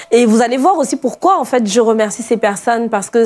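A high-pitched woman's voice with lively intonation. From outside France. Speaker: pastor. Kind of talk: sermon. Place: studio. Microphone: lapel.

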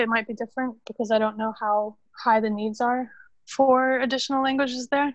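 A woman with an American accent speaks at a fairly quick pace. Her high-pitched voice keeps a monotone, flat intonation. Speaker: football club social media manager. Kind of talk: interview.

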